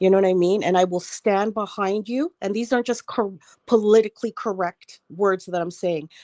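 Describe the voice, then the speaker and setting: A woman speaks at a moderate pace and medium pitch, her tone dark and mellow. Her intonation is fairly even, and the sound is dry and close with no echo. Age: 60s. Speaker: panelist on online talk show. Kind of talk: casual panel discussion.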